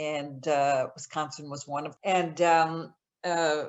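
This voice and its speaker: This is a woman's voice. She has a Buffalo accent. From US, Buffalo, New York. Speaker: author and journalist. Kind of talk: author Q&A at virtual book event. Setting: virtual event, video call. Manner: many fillers, hesitant.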